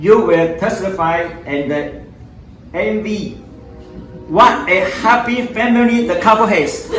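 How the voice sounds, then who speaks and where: A man talks at a fairly slow pace. Audible room echo and noticeable background noise surround his voice. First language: non-English. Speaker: father of the groom. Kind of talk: wedding toast.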